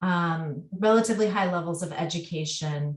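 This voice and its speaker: A somewhat breathy woman's voice at a medium pitch, with ordinary pitch variation. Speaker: researcher. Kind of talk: webinar presentation. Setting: webinar.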